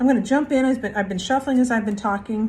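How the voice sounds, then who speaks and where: Somewhat breathy, with fairly even intonation. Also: woman. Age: 60s. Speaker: spiritual card reader. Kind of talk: spiritual reflection monologue. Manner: casual, with frequent fillers.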